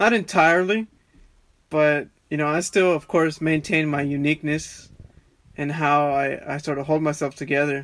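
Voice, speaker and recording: A man talks in a fairly high voice. His intonation stays fairly even. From Texas. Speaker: barber and podcaster. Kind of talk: casual chat.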